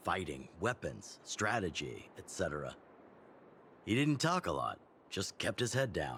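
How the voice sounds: A man's put-on character voice, low in pitch with big pitch swings. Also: fairly slow pace, fairly bright tone.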